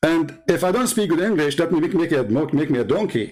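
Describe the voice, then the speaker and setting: A man's voice with lively intonation. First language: Arabic. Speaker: religious debater, live stream host. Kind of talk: heated debate. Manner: animated, interrupting, repetitive.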